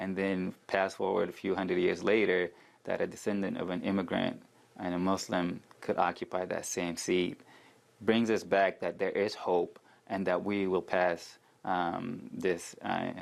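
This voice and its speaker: The man has a non-native accent and a very deep, low pitch. He talks at a fairly slow pace in a monotone, flat intonation. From Sudan. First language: not English. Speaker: city council candidate. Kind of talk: interview.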